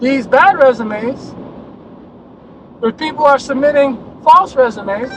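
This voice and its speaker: The voice is loud, at a fairly slow pace with long, frequent pauses. Background noise is noticeable. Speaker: insurance adjuster trainer. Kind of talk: video rant.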